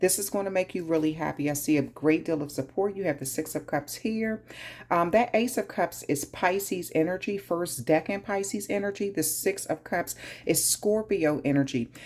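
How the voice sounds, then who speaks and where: A woman with an American accent speaks at a moderate pace, her fairly low pitch showing ordinary variation. The recording is very clean with a silent background. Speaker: tarot reader. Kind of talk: tarot reading.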